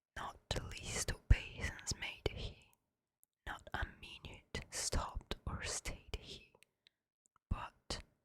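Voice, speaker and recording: Whispering in a calm, soothing tone, a woman goes at a very slow pace with big swings in loudness and long, frequent pauses. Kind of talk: ASMR poetry reading. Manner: whispered, calm, soothing.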